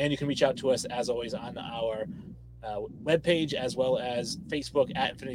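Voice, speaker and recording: A man's voice with vocal fry, at a moderate pace. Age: late 30s. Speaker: sports podcast host. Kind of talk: casual chat. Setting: live stream.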